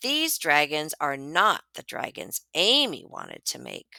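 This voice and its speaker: In a put-on character voice, a woman speaks raspily at a very deep, low pitch and a fairly slow pace, her tone gentle and warm, with big swings in loudness. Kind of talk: bedtime story. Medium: read story. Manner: gentle, clear, warm.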